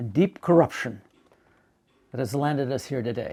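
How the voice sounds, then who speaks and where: A man's dark, mellow voice in an American accent, moderate in pace, with very wide pitch swings. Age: 80s+. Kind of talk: prepared statement. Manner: formal.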